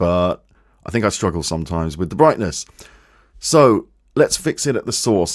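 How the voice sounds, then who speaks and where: The very clean recording, with a silent background, captures a man speaking at a fairly quick pace. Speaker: music producer and audio YouTuber. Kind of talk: tutorial. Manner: halting, many fillers. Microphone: condenser studio mic, bright sounding.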